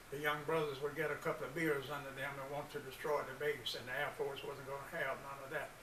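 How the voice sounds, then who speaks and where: A man with an American accent speaks in a fairly high voice and a flat monotone. The recording has audible room echo and noticeable background noise. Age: 80s+. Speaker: community organization founder, military veteran. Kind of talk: presentation speech.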